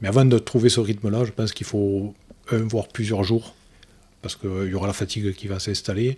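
On a very clean recording with a silent background, a man speaks with a fairly low pitch, a dark, mellow tone, a somewhat breathy quality and monotone, flat intonation. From Lozère, southern France. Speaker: amateur ocean rower, petrochemical manager. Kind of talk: interview. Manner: halting.

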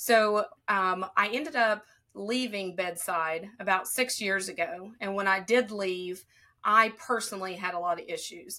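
Speaking with a Southern Appalachian accent, a woman has a bright, sharp tone at medium pitch and ordinary pitch variation. She goes at a fairly slow pace in a very clean recording with a silent background. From southern Ohio. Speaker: respiratory therapist and speaker.

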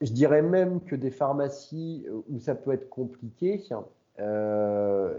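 Music plays in the background as a man with a medium pitch speaks with lively intonation. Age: 40s. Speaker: pharmacy owner. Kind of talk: interview on a live webinar. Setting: online live webinar. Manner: halting, many repeated words and fillers.

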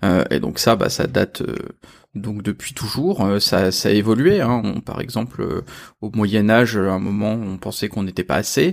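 A man's fairly low voice with vocal fry, ordinary pitch variation and a fairly slow pace. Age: 40s. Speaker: engineer and author. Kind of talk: interview.

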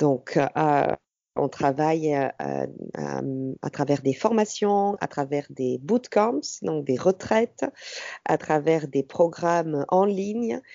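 Her voice has a very deep, low pitch and lively intonation. This woman speaks at a very slow pace. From southern France, Ariège. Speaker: entrepreneur, women's empowerment trainer. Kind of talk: interview conversation. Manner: hesitant, many fillers.

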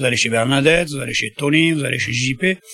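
A man with an unremarkable speaking voice talks at a fairly quick pace, his pitch fairly high with ordinary pitch variation. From Landes, southwest France. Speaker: market trader, duck producer. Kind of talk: interview.

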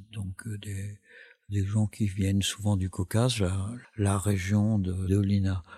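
Over a silent background in a very clean recording, a man speaks very slowly in a flat monotone, his fairly low voice dark, mellow and somewhat breathy. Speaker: documentary filmmaker. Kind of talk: interview. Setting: recorded at a film school in Paris. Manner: halting, many fillers and repetitions.

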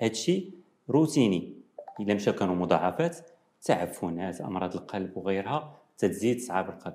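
Fairly low in pitch, a man speaks at a fairly slow pace with a dark, mellow tone. His pitch swings very widely. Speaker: nephrology professor. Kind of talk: TV interview.

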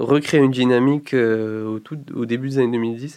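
A man at medium pitch with fairly even intonation and a moderate pace. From Morocco. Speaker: music collective founder and artist manager. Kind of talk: interview. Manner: hesitant, many fillers.

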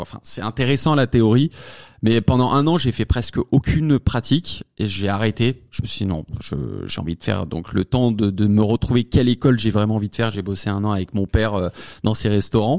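A man's fairly low voice at a fairly quick pace with ordinary pitch variation, dry and close with no echo, on a very clean recording with a silent background. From France, Savoie. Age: 20s. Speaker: comedy content creator. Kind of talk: interview. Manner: fast, hesitant with fillers.

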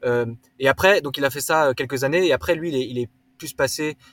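A man's somewhat breathy voice at a moderate pace, dry and close with no echo. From Alsace, France (rural, near Swiss border). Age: 30s. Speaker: startup co-founder, carbon accounting. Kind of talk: casual interview. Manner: halting, many filler words.

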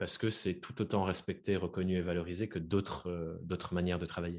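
This man's voice is very deep and low, with fairly even intonation. The recording is very clean, the background silent. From France, Dordogne. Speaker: podcaster and freelance coach. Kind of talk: interview. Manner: hesitant, many fillers.

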